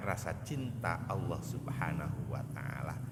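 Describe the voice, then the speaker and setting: Noticeable background noise runs under the recording. Room echo is audible too. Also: man. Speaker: Islamic preacher. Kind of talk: sermon. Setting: mosque.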